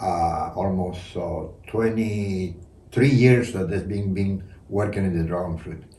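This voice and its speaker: A man speaks at a fairly slow pace in a dark, mellow tone that is somewhat breathy. The room echo is audible. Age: 80s+. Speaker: dragon fruit hybridizer and hobby grower. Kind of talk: casual chat. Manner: halting.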